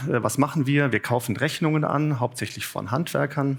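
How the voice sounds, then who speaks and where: Here a man speaks at a moderate pace with a fairly high pitch. The recording is very clean, with a silent background. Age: 40s. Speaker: business executive, conference speaker. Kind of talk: conference talk. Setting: conference room with audience. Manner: hesitant, many filler sounds.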